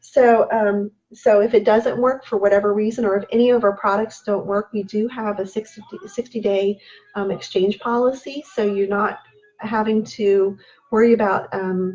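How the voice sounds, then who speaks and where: At a moderate pace, a woman talks in a monotone, flat intonation. Her pitch is fairly high. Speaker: natural products consultant. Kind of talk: live sales stream. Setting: live video stream. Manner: halting, many ums.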